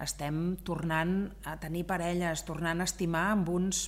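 At a fairly slow pace, a woman speaks. Her pitch sits fairly low. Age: 50s. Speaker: business owner. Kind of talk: interview. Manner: loud; animated.

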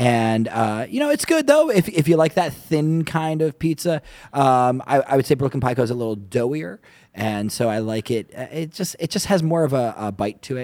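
A man's normal speaking voice, medium-pitched with lively intonation. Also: moderate pace. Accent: American. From New York area. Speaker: podcast co-host. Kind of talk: casual chat.

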